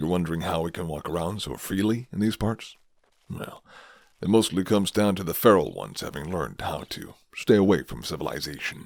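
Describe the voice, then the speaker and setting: A man does a put-on character voice at a very deep, low pitch. He moves at a fairly quick pace. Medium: solo performance. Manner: low, flirty.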